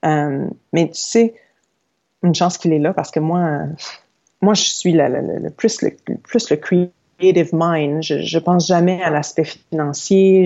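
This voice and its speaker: A woman speaks at a fairly low pitch with ordinary pitch variation. She goes at a very slow pace with long, frequent pauses. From Quebec, Saguenay. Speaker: yoga teacher and entrepreneur. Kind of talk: interview. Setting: remote recording.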